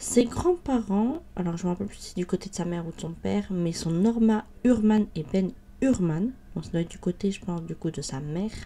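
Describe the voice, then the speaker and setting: Somewhat breathy, a woman speaks fairly slowly with ordinary pitch variation. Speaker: YouTuber. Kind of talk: biography narration, casual. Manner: hesitant, many fillers.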